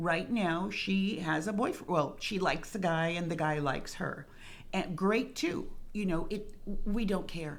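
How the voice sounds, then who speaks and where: In audible room echo, a woman with an American accent speaks at a fairly slow pace. Her pitch is medium, with ordinary variation. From Rio Grande Valley, Texas (Harlingen). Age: 60s. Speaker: retired school speech therapist, parent support group co-founder. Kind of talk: interview conversation.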